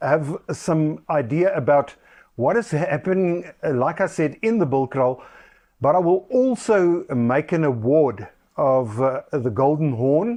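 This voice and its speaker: A man with a fairly high voice and a dark, mellow tone talks at a fairly slow pace with lively intonation and very even loudness against a quiet background. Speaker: rugby podcaster. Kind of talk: casual commentary monologue. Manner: halting, many fillers.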